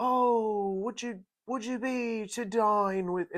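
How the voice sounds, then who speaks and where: A put-on character voice with a fairly high pitch speaks at a very slow pace. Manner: pompous, affected, theatrical.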